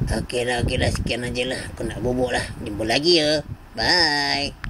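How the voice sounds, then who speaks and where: Over clear background noise, a man does a cartoonish character voice at a medium pitch with ordinary pitch variation. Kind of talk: comic overacting.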